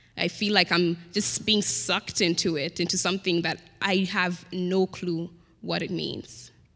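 At a fairly slow pace, a woman speaks with a fairly low pitch, a bright, sharp tone and vocal fry. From Kenya. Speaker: college student. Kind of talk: panel discussion and poetry performance.

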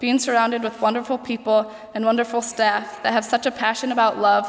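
At a fairly quick pace, a woman with a Midwestern American accent speaks in a flat monotone at a fairly high pitch over noticeable background noise. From Ohio, US. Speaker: college senior, nursing student. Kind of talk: speech.

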